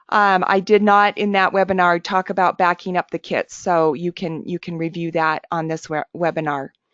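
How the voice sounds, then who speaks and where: A woman's normal speaking voice, fairly low in pitch, at a moderate pace with fairly even intonation and hardly any pauses. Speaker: webinar presenter, software trainer. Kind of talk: tutorial. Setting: webinar.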